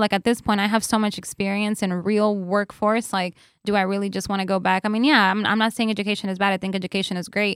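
Very fast and flat in intonation, a woman with an American accent speaks at a medium pitch on a very clean recording with a silent background and a dry, close sound with no echo. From New York. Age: 30s. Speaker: content creator and entrepreneur. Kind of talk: interview conversation. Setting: studio.

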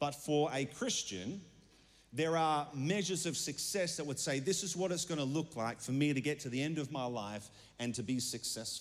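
This man has a fairly high pitch, ordinary pitch variation and a moderate pace. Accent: Australian. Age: 30s. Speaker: pastor. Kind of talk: sermon.

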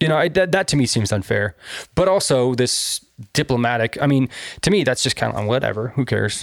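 A man with a medium-pitched voice and vocal fry speaks at a fairly quick pace with lively intonation and very even loudness. The recording is very clean and dry, close-miked with no echo against a silent background. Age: 30s. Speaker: podcast co-host. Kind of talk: casual chat. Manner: animated.

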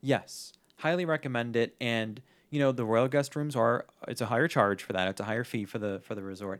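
A very clean recording with a silent background catches a man with a normal speaking voice, talking fairly quickly at a medium pitch with ordinary pitch variation. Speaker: Disney-themed podcast co-host. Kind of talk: casual chat.

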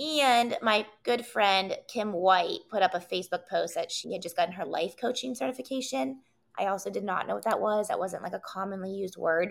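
A woman with an American accent speaks at a medium pitch and a fairly quick pace. Her intonation is lively, with vocal fry in her voice. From West Virginia, Wheeling. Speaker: entrepreneur, wellness event organizer. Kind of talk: casual interview.

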